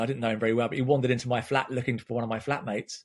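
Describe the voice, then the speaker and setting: Against a quiet background, a man with an English accent speaks in a somewhat breathy voice. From England. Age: 50s. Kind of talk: casual chat.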